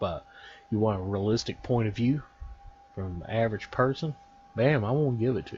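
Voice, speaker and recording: A man with a Texan accent at a medium pitch with ordinary variation, a fairly quick pace, long, frequent pauses and big swings in loudness. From Texas. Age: 40s. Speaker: gaming YouTuber. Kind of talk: casual video commentary.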